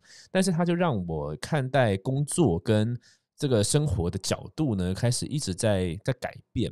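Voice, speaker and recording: With a Taiwanese accent, a man at a medium pitch speaks at a fairly slow pace with very wide pitch swings, in a dry, close sound with no echo. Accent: Taiwanese Mandarin. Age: 30s. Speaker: podcast host and entrepreneur. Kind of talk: casual monologue. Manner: hesitant, many fillers.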